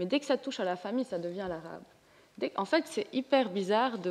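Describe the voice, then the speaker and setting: Pitched in the medium range, a woman talks in an ordinary speaking voice whose pitch varies in an ordinary way. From Lebanon. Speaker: comics artist. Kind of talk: panel discussion.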